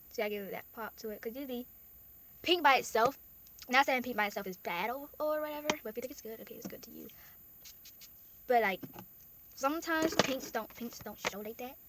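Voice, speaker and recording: A woman with a high voice talks at a fairly quick pace, taking long, frequent pauses, with big swings in loudness and ordinary pitch variation. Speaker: makeup vlogger. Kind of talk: tutorial. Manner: fast.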